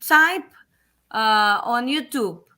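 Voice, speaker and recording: With a Portuguese accent, a woman uses a raised, projected voice at a high pitch, bright and sharp in tone, with lively intonation and a very slow pace, on a very clean recording with a silent background. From Brazil. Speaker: English teacher. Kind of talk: casual chat. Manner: hesitant, many fillers.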